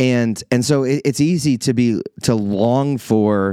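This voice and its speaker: A man speaks in a dark, mellow tone with a US Midwestern accent. His intonation is lively. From Iowa, US Midwest. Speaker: pastor. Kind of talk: podcast monologue reflecting on a sermon. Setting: church office. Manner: casual, conversational.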